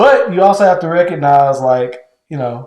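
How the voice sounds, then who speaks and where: A man with a high pitch and lively intonation speaks amid audible room echo. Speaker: podcast co-host with his wife. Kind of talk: casual chat. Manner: gets louder when heated.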